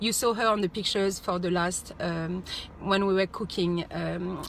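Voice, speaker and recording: Her intonation stays monotone and flat. This woman's voice sits at a medium pitch. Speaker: astrologer. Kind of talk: casual vlog forecast. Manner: fast; hesitant, many fillers.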